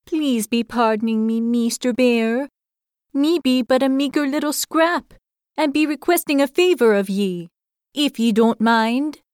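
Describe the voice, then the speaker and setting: A put-on character voice with a timid tone. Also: female-sounding voice, high pitch for a woman, moderate pace. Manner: timid, humble, pleading.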